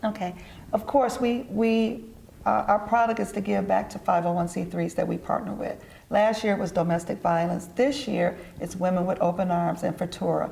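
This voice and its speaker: Speaking with an American accent, a woman keeps a medium pitch, ordinary pitch variation and a moderate pace. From Detroit, US Midwest. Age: 60s. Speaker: entrepreneur and event organizer. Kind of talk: TV interview.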